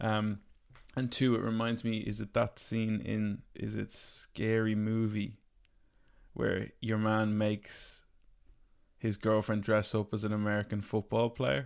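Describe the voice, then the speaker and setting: A man with an Irish accent talks at a fairly slow pace with monotone, flat intonation and a fairly low pitch. The recording is very clean, with a silent background. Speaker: podcast host. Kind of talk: casual chat.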